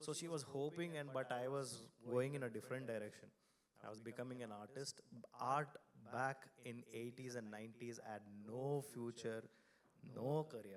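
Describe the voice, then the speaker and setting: A man with a Kannada accent and a medium pitch speaks in an animated tone at a moderate pace, leaving long, frequent pauses. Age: 40s. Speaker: designer and design studio founder. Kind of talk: conference talk. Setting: stage with audience. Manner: loud.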